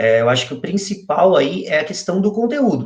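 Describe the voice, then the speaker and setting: A somewhat breathy male voice. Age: 20s. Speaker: SEO specialist. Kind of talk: online interview, technical explanation.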